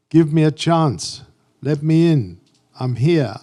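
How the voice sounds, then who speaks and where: Speaking very slowly, a man with a fairly high pitch uses a dark, mellow tone and ordinary pitch variation. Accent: English. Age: 70s. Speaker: graphic designer and photographer. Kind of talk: artist talk.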